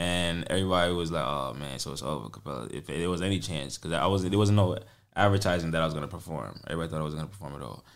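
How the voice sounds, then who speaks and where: With a New York accent and vocal fry, the speaker talks at a very fast pace with ordinary pitch variation, and room echo is audible. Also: man, very deep, low pitch for a man. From New York, the Bronx. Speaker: singer-songwriter and producer. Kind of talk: casual interview chat. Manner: animated.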